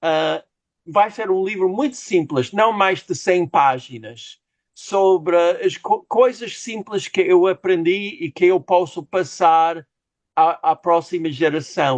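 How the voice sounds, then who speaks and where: In an English accent, a man with a high pitch and lively intonation speaks at a very slow pace, with a dry, close sound and no echo. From United States. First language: English (speaking Portuguese). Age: 60s. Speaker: novelist. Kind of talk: interview. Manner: halting.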